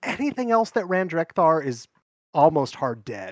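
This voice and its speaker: A man talks at a fairly quick pace with lively intonation in a normal speaking voice. The sound is dry and close, with no echo. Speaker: guest, card game player. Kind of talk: casual chat.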